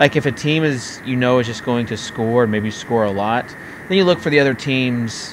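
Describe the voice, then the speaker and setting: Speaking at a moderate pace with an American accent, the voice has lively intonation over noticeable background noise. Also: man. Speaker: fantasy sports show host. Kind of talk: casual chat. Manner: animated.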